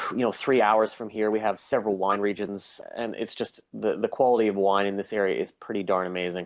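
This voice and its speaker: Talking at a fairly quick pace with hardly any pauses, a man keeps a fairly low pitch and a monotone, flat delivery. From Canada, Saskatchewan. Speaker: tour business owner. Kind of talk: podcast interview. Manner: hesitant fillers.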